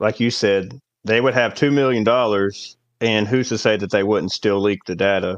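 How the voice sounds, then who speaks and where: An unremarkable speaking voice from a man, fairly low in pitch, with fairly even intonation, a moderate pace and a quiet background. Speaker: guest gamer. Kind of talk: casual chat.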